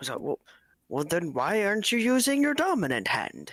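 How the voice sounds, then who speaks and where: A man uses a put-on character voice. It sits high in pitch at a moderate pace. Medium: actual play. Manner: brisk, fussy.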